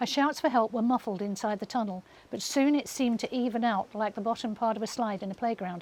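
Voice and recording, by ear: The clip is read aloud. The voice sounds natural.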